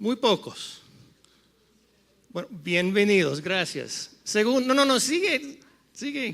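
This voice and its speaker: A man with a high voice speaks very slowly, his pitch swinging very widely between long, frequent pauses. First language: English (speaking Spanish). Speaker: panel moderator, economic consultant. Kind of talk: conference panel talk. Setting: stage with audience. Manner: halting, switching between English and Spanish.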